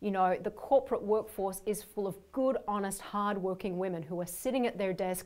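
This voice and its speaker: A woman with an Australian accent at medium pitch and moderate pace, ordinary pitch variation, in a very clean recording with a silent background. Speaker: leadership coach. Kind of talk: workshop training video.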